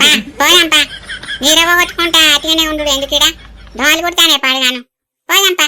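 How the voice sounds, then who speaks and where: A squeaky, cartoonish character voice from a woman, high in pitch, with fairly even intonation at a moderate pace. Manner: prying, teasing, chatty.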